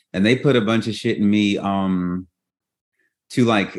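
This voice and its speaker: A man speaks at a moderate pace with a Louisiana accent. The background is quiet. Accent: US Southern (Louisiana). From Baton Rouge, Louisiana. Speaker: podcast host and memoir author. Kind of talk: casual interview chat. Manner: animated.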